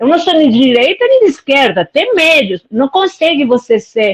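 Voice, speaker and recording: A woman's high-pitched voice in a Spanish accent, with very wide pitch swings and a dry, close sound with no echo. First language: Spanish (speaking Portuguese). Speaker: live stream participant. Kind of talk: casual chat. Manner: halting.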